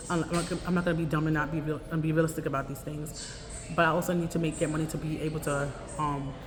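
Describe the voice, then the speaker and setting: Amid noticeable background noise and audible room echo, a woman speaks very fast in a very deep, low pitch with monotone, flat intonation. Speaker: vlogger, homeless advocate. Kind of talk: casual vlog monologue. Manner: speaking loud over surroundings.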